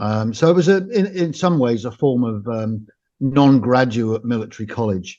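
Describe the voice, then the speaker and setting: The voice has an English accent and a dark, mellow tone. It proceeds at a fairly slow pace. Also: man. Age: 60s. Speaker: former special forces soldier and author. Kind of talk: interview.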